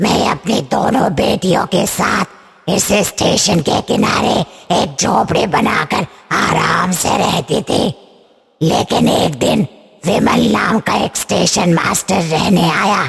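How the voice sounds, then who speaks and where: A man puts on a raspy, cartoonish character voice pitched high. He speaks at a fairly slow pace. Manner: menacing, grim.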